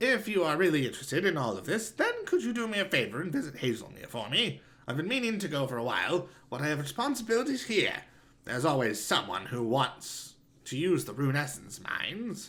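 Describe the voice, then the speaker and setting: Using a put-on character voice, a man speaks fairly quickly at a fairly high pitch with very wide pitch swings. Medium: solo performance. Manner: warm, explanatory.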